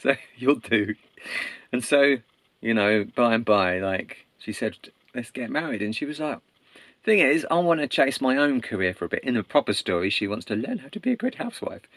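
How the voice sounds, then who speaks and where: The speaker has an English accent, with lively intonation and a moderate pace. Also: man, medium pitch for a man. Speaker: storyteller. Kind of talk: casual oral storytelling. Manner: animated; conversational.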